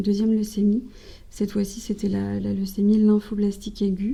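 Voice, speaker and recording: A woman talks fairly slowly at a medium pitch, her tone dark and mellow, somewhat breathy, and her intonation monotone and flat. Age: 20s. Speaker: cancer survivor, communications officer. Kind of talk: interview testimony. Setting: podcast interview.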